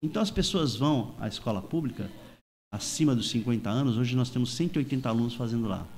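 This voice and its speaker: A man talks in a plain, everyday voice at a medium pitch. His pace is fairly quick and his pitch variation ordinary. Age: 60s. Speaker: surfer and surf instructor. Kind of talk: panel discussion.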